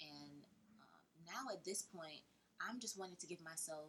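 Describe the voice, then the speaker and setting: This woman's voice sits fairly low, with vocal fry and a bright, sharp tone. Her pitch varies in an ordinary way, and she keeps a moderate pace. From US South, Georgia. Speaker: interior designer. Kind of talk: casual interview. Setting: in person, at her apartment.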